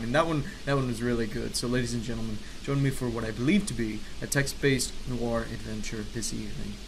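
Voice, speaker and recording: A man speaks at a fairly quick pace. His pitch variation is ordinary, and noticeable background noise is audible. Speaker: gaming video creator. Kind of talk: gameplay commentary. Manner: theatrical, upbeat.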